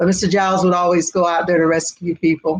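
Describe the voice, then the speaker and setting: A woman with an American accent speaks fairly quickly at a fairly low pitch, her intonation monotone and flat. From South Florida, Fort Lauderdale. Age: 70s. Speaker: community elder, interviewee. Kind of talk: interview, oral history. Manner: storytelling, conversational.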